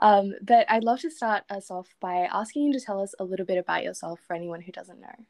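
In an Australian accent, a woman talks at a fairly quick pace with a medium pitch, lively intonation and big swings in loudness, recorded with a dry, close sound and no echo. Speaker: podcast host. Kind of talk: casual interview.

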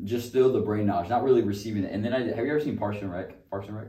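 A man talks at a medium pitch with fairly even intonation, and room echo is audible. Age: 20s. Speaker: podcast co-host. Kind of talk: casual chat.

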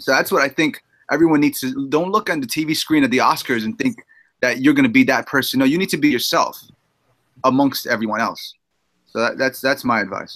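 This man speaks fairly quickly with a New York accent. His fairly high voice has lively intonation. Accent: New York City. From Queens, New York City. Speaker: film director. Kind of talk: casual chat.

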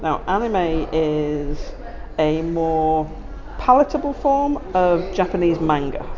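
With music in the background, a woman talks at a fairly low pitch with lively intonation. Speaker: therapist. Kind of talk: casual chat. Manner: loud.

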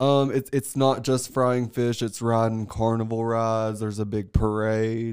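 On a very clean recording with a silent background, a man with a Southern US accent talks at medium pitch and a fairly slow pace, with monotone, flat intonation and hardly any pauses. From US South, Tennessee. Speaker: astrologer and artist, podcast guest. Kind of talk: casual chat. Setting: studio.

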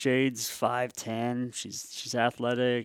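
A medium-pitched male voice with an American accent on a very clean recording over a silent background. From Washington State, Tri-Cities. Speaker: college basketball coach. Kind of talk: interview. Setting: on a college campus.

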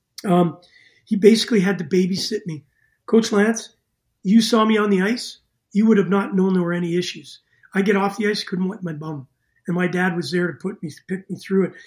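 Speaking at a fairly quick pace, a man with a Canadian accent uses a high pitch and fairly even intonation. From Canada, Winnipeg, Manitoba. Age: 60s. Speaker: former pro hockey player and coach. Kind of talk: casual interview.

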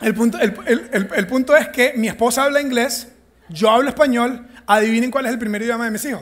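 A man speaks at an extremely high pitch. His pace is fairly quick. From Venezuela. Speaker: pastor. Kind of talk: sermon. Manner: animated.

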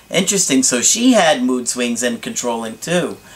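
Over noticeable background noise, a man with a medium pitch talks at a moderate pace. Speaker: relationship coach. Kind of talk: advice monologue to camera.

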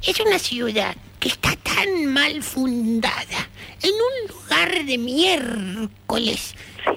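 A woman speaks with a high pitch and very wide pitch swings over noticeable background noise. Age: 70s. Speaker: retired woman chatting with a friend. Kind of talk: casual phone chat.

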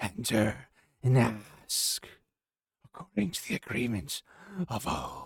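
Breathy and in a put-on character voice, a man speaks at medium pitch and a fairly slow pace with long, frequent pauses. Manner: speaking in unison, eerie.

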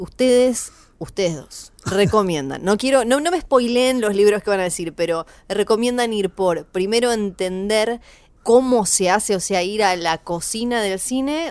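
A woman's medium-pitched, normal speaking voice with lively intonation at a fairly slow pace, in a normal speaking voice. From Tierra del Fuego, Argentina. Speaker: radio co-host. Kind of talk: casual chat.

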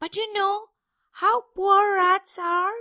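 Putting on a character voice at an extremely high pitch, a woman speaks fairly slowly in a nervous tone. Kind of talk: humble, formal. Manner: hesitant, nervous.

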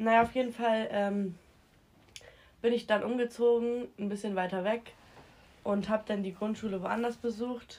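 A woman's fairly high, monotone, flat voice at a moderate pace, broken by long, frequent pauses. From Hamburg, northern Germany. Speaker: podcast guest. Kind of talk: casual chat.

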